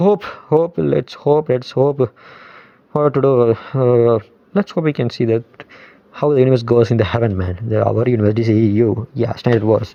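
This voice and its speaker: In a Tamil accent, the speaker's intonation is lively, with noticeable background noise behind the voice. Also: man, medium pitch for a man, moderate pace. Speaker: movie vlogger. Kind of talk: casual monologue vlog. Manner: halting, many fillers; animated.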